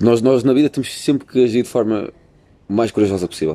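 A man talks at a very fast pace with a European Portuguese accent. His tone is dark and mellow. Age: 20s. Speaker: university student podcaster. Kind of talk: casual chat. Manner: animated.

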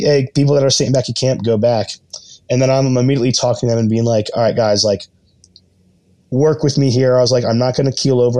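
The intonation here is fairly even. It belongs to a man with a medium-pitched voice. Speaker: teacher and game contestant. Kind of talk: casual interview chat.

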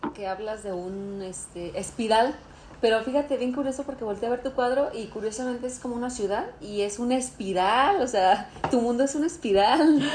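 A woman with a high voice talks at a fairly quick pace with ordinary pitch variation over noticeable background noise. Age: 40s. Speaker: podcast co-host. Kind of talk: casual chat. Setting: dinner at a friend's home.

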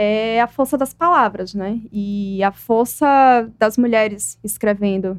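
A woman with an unremarkable speaking voice talks at a fairly high pitch, and her pitch varies in an ordinary way. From Brazil, Aracaju (Sergipe, Northeast). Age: 20s. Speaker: poet and writer. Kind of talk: interview.

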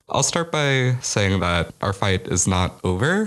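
Against noticeable background noise, a man with an American accent speaks in a very deep, low pitch with ordinary pitch variation. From US Midwest, Chicago. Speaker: college student activist. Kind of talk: interview.

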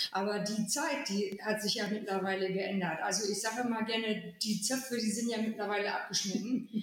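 Amid noticeable background noise and audible room echo, a woman with a fairly high pitch speaks at a moderate pace with ordinary pitch variation. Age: 40s. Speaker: volunteer firefighter and fire safety educator. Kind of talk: casual chat.

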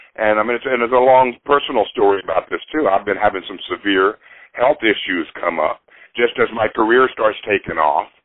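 Using an ordinary speaking voice with an American accent, a man talks at a fairly quick pace, a medium pitch and ordinary pitch variation. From US South, Nashville. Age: 60s. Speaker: musician. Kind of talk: interview.

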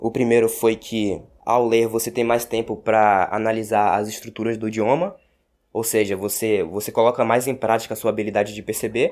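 On a very clean recording with a silent background, a man with a Brazilian accent speaks in a flat monotone at a medium pitch and moderate pace. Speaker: language teacher podcaster. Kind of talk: casual tutorial monologue.

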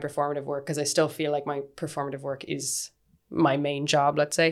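The woman's voice is very deep and low in pitch, captured on a very clean recording with a silent background. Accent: Irish. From West of Ireland, County Galway. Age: 30s. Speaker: dancer and actor. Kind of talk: casual interview chat.

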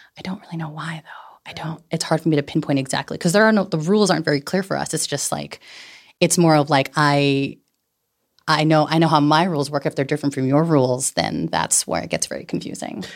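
A woman with a Californian accent talks at a very fast pace with a very deep, low pitch and ordinary pitch variation, in a very clean recording with a silent background. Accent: Californian American. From San Francisco Bay Area, California. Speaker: personal finance educator. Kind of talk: casual chat. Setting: studio. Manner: animated.

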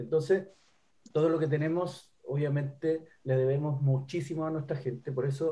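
With a dark, mellow tone, a man speaks at a moderate pace in a fairly high pitch, somewhat breathy, with fairly even intonation. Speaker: singer and guitarist. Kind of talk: interview.

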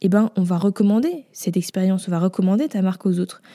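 A woman's somewhat breathy, dark, mellow voice at a medium pitch moves at a fairly quick pace with fairly even intonation and a dry, close sound with no echo. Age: 20s. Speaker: podcast host, brand designer. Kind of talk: casual solo podcast talk. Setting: home recording after move. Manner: casual with frequent fillers.

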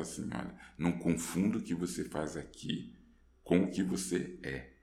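A man's voice is heard with audible room echo. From Rio de Janeiro, Brazil. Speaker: actor. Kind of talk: casual interview. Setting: studio.

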